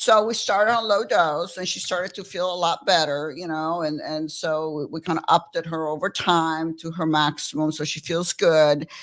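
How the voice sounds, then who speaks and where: A woman talks at a moderate pace with a fairly low pitch and ordinary pitch variation. The recording is very clean, with a silent background. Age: 60s. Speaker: physician. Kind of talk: interview. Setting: studio. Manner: animated.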